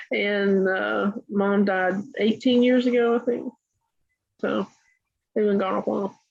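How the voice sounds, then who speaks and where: With a Tennessee accent, a woman speaks in fairly even intonation and very even loudness, leaving long, frequent pauses. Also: medium pitch for a woman, fairly slow pace. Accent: Southern US (Tennessee). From US South, Chattanooga, Tennessee. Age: 70s. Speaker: writer and massage therapy teacher. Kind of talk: interview. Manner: hesitant, with many fillers.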